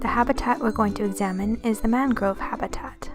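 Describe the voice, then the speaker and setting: Music plays in the background as a woman with a fairly high pitch speaks at a moderate pace with fairly even intonation. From Canada. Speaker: amateur naturalist. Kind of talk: nature documentary narration.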